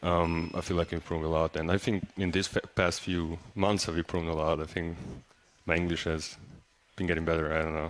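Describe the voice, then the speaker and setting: With a Serbian accent, a man talks at a fairly quick pace in a very deep, low voice, his intonation monotone and flat. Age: young. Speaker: college basketball player. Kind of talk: radio interview. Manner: halting.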